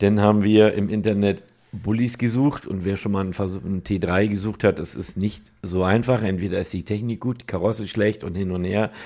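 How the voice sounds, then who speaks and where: A man's fairly even intonation at a moderate pace. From northern Germany. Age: 50s. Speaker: car body and paint shop owner. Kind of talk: casual chat.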